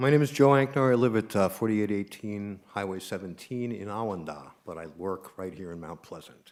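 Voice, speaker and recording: A man with an ordinary speaking voice talks fairly quickly in a fairly low pitch, with hardly any pauses. His intonation is lively, and his loudness swings widely. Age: 60s. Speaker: public commenter at town council meeting. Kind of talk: public comment.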